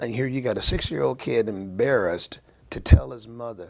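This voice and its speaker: The voice moves at a moderate pace. Its pitch varies in an ordinary way. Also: man. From US Midwest, small town in Ohio. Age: 60s. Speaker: interview guest, former football player. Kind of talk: radio interview. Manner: halting, many fillers and repetitions.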